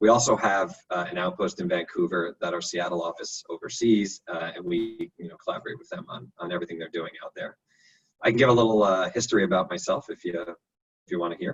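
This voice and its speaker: Talking at a fairly quick pace with a New York accent, a man makes big swings in loudness. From New York, Long Island. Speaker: architect, design firm director. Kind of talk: interview. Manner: casual with many fillers.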